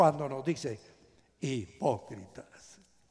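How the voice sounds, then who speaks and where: At a very slow pace, a man speaks. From Guatemala. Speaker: pastor. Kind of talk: sermon. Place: hall. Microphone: headset.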